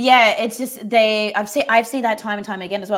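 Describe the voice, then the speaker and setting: A woman with an Australian accent, fairly high in pitch, at a very fast pace. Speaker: workplace culture and leadership expert. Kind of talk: casual interview chat.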